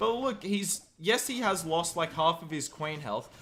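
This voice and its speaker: Raising and projecting his voice, a man talks with ordinary pitch variation. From Australia. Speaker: game commentator and streamer. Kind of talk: live commentary. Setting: live stream. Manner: animated.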